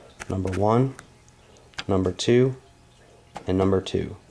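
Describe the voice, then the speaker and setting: Behind a man's fairly low voice, there is noticeable background noise. He talks at a moderate pace. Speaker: gun owner. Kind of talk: casual firearm review talk to camera. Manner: monotone.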